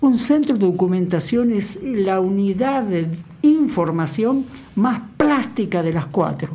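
Over noticeable background noise and audible room echo, the speaker talks very slowly. The pitch swings very widely. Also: woman, medium pitch for a woman. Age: 60s. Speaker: archivist and university lecturer. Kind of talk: radio interview. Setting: radio studio.

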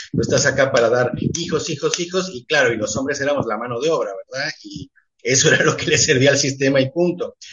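At a fairly quick pace, a man with a fairly high pitch talks in a normal speaking voice. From Mexico (left Uruguay as a child). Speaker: theatre director. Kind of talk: radio interview. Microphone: connection dropped out.

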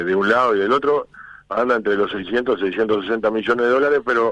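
Lively in intonation, a man speaks at medium pitch and a fairly quick pace. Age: 60s. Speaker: union leader. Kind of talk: radio interview. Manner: halting.

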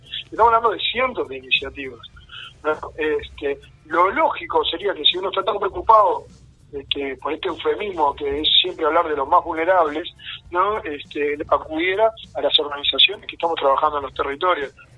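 A man's high voice at a fairly quick pace. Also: ordinary pitch variation. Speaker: community activist. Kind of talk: radio interview. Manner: halting, many fillers and repetitions.

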